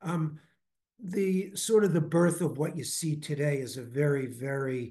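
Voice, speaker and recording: Somewhat breathy, a man speaks fairly slowly with an American accent and ordinary pitch variation. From Brooklyn, New York. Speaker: investment firm founder. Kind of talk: interview.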